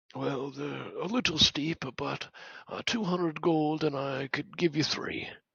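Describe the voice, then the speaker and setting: A put-on character voice, raspy and at a middle pitch, speaks at a fairly slow pace. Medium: actual play.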